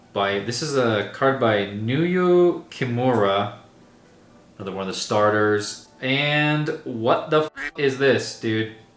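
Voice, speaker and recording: This man's voice sits at a medium pitch with ordinary pitch variation. Room echo is audible, and there is noticeable background noise. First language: not English. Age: 30s. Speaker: content creator opening trading card packs. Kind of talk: casual unboxing commentary. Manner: casual, rambling with fillers.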